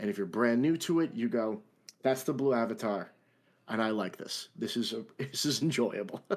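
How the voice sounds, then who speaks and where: With a strong New York accent, a man talks at a moderate pace and a medium pitch. His pitch variation is ordinary, and the recording is very clean with a silent background. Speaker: larp player and event NPC actor. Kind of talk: podcast interview.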